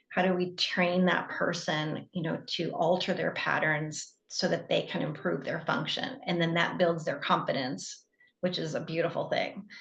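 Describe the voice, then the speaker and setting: A woman with an American accent at a moderate pace, hardly any pauses, and audible room echo. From US Midwest, northwest Illinois. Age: 60s. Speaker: physical therapist and educator. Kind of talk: interview conversation.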